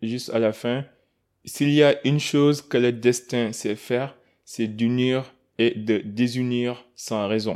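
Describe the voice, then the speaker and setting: Over a silent background in a very clean recording, a man speaks at a very slow pace with fairly even intonation. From Senegal, Kaolack. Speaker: podcast host. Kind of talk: podcast interview. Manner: stammering repetitions.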